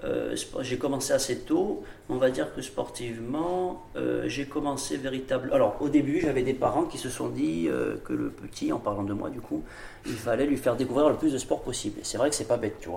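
Noticeable background noise runs beneath a man who keeps a moderate pace. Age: 20s. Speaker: doctoral student and mountain athlete. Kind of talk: casual interview. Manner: hesitant, many fillers.

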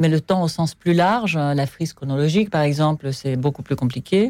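Her voice is very deep and low for a woman, with a dark, mellow tone and ordinary pitch variation. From Soviet Union. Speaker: film director and mother. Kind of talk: interview. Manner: hesitant.

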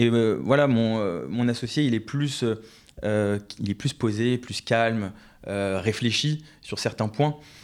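The recording is very clean with a silent background. A man speaks at a very slow pace with a medium pitch and ordinary pitch variation. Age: 20s. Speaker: trainee chartered accountant and entrepreneur. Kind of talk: podcast interview.

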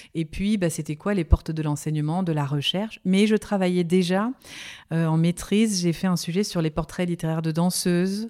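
The tone is dark and mellow, with fairly even intonation at a moderate pace. The sound is dry and close with no echo, on a very clean recording with a silent background. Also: woman, fairly low pitch for a woman. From Lorraine, France (Nancy). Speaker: sophrologist and dance journalist. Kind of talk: interview.

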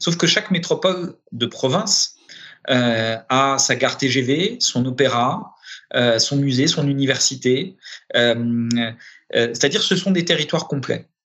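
Lively intonation at a very slow pace with very even loudness. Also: man. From Paris, France. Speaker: director of a public development agency. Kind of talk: interview. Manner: halting, many repetitions and hesitations.

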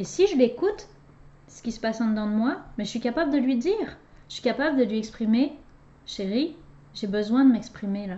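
Her voice is fairly high and somewhat breathy. The woman keeps a moderate pace. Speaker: relationship coach and podcast host. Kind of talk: casual conversation with her husband. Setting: recording alongside guest.

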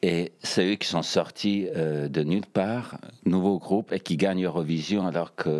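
A man at a fairly slow pace, fairly even intonation, noticeable background noise. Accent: former Yugoslav. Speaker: Eurovision fan guest. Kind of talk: casual chat.

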